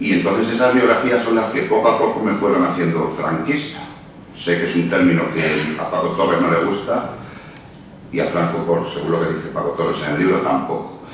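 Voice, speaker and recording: A man's very deep, low voice at a fairly quick pace with lively intonation, amid audible room echo and noticeable background noise. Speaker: book publisher. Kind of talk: book presentation speech. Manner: hesitant, with repetitions.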